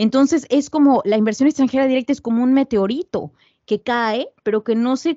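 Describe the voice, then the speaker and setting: A woman is speaking. She keeps a moderate pace. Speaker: author and researcher. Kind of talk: interview.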